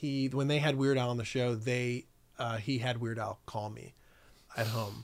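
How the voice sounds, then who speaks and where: This is a normal speaking voice with an American accent, moving at a moderate pace with fairly even intonation. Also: man, medium pitch for a man. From New York City (Staten Island) and Connecticut. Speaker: documentary producer. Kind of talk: casual chat.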